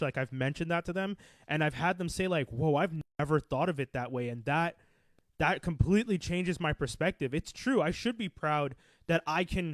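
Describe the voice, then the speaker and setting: Dry and close with no echo, this very clean recording with a silent background has a man with a plain, everyday voice speaking fairly quickly at a fairly high pitch with ordinary pitch variation. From Quebec, Canada. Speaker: podcast host. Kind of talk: casual chat.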